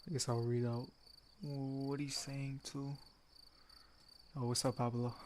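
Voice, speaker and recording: The speaker is quiet. The pace is very slow. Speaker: gaming streamer. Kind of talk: live gameplay stream commentary. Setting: live stream in a dark room. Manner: casual, hesitant. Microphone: headset mic, sounds quiet.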